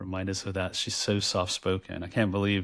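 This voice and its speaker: A moderate pace marks the speech, captured on a very clean recording with a silent background. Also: man. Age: 50s. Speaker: podcast co-host and author. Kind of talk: casual chat. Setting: virtual recording. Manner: loud, projecting voice.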